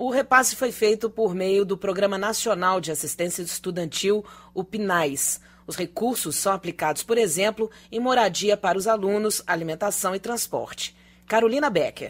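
Her pitch variation is ordinary. The woman keeps a moderate pace. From Brazil. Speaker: news anchor. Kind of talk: news reading. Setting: studio. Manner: formal. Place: studio.

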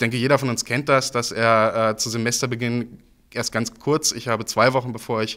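This man speaks at a fairly quick pace against a quiet background. His intonation is flat and monotone. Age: 20s. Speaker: student politician. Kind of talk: campaign interview statement. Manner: frequent filler hesitations (äh). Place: hall. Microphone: handheld.

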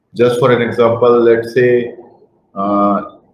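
Monotone, flat intonation with audible room echo and light background noise. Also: man. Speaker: guest lecturer. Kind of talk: lecture. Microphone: webcam.

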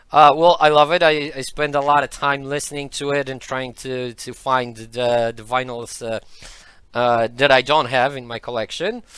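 Against a quiet background, a man speaks at a moderate pace with fairly even intonation in a dry sound free of echo. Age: 30s. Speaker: economics lecturer. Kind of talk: interview. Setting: studio with online audience. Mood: relaxed, friendly. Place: studio. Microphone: headset.

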